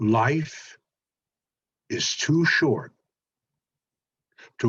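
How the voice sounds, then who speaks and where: A man speaks at a very slow pace with vocal fry. His pitch swings very widely. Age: 70s. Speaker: motivational speaker. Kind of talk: motivational talk.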